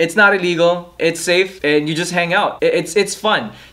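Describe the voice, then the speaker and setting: The speaker has a Filipino accent and talks at a fairly quick pace over noticeable background noise. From Philippines. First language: Tagalog. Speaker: YouTuber, vlogger. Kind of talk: casual vlog monologue.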